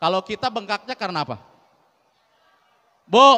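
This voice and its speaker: A man's raised, projected voice, bright and sharp in tone, at a fairly quick pace with ordinary pitch variation. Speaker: Islamic preacher. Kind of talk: sermon. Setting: mosque with audience. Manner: conversational, engaging audience with questions.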